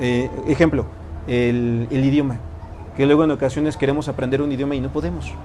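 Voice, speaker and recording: A man speaks in a fairly high pitch, with noticeable background noise behind him. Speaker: tarot and personal growth teacher. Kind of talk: lecture to a live group. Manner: fast.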